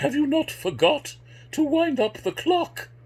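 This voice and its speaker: A man puts on a character voice, pitched extremely high for a man, and speaks at a fairly slow pace. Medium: solo performance.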